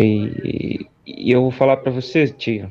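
The voice belongs to a man. Its pitch variation is ordinary. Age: young. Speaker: caller. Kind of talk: casual chat. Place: home room.

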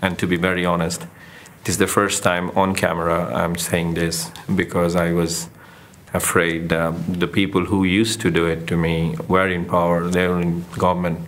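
In a Bengali accent, a man with a very deep, low pitch speaks at a moderate pace and with monotone, flat intonation, his voice carrying audible room echo. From Bangladesh. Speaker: documentary photographer. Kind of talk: interview testimony. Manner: hesitant, with fillers.

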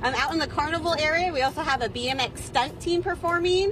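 Over noticeable background noise, a woman talks at a fairly quick pace with lively intonation, and the sound is dry with no echo. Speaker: guest. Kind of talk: interview answer. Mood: cheerful, upbeat. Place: market.

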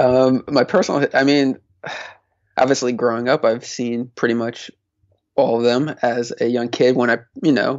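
Speaking at a moderate pace with fairly even intonation, a man at a medium pitch leaves long, frequent pauses. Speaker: podcast co-host. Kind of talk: casual chat.

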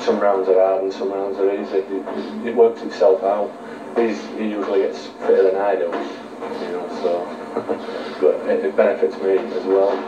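Noticeable background noise sits behind the speech. The man talks at a moderate pace. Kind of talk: interview answer. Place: gym.

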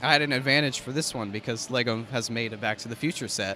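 Over light background noise, a man speaks with a bright, sharp tone and ordinary pitch variation, the sound dry with no echo. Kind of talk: interview answer. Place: hall.

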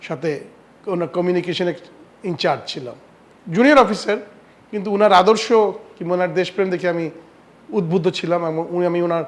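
Pitched high, the man's voice moves with ordinary pitch variation. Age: 70s. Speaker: former ambassador. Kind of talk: interview.

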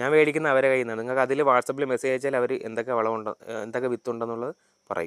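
A man has an unremarkable speaking voice, medium in pitch with fairly even intonation. The sound is dry and close, with no echo. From Kerala, Thiruvananthapuram district. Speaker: agricultural officer answering farmers' questions. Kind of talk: Q&A tutorial.

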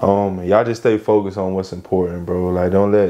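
With an American accent, a man speaks at a very deep, low pitch and a fairly quick pace in monotone, flat intonation. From Lakeland, Florida; Florida. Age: 20s. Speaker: professional basketball player; podcast guest. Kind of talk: casual chat. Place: home room.

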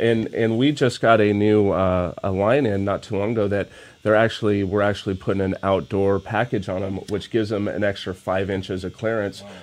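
A man with a normal speaking voice talks at a fairly quick pace and a fairly low pitch, his intonation fairly even. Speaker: RV dealership rep. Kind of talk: casual chat.

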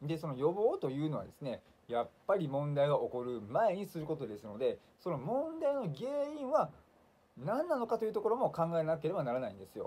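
With a dark, mellow tone and a high pitch, a man talks at a fairly quick pace, his pitch swinging very widely and his loudness shifting in big swings. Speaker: leukemia patient YouTuber. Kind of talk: monologue video blog, casual. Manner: friendly, explanatory, fillers. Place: home room. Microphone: phone near.

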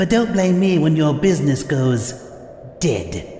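A man does a put-on character voice, fairly high in pitch and at a fairly slow pace. There is clear background noise and a slight echo. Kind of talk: voice-over demo pitch. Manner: gleeful, punning, theatrical.

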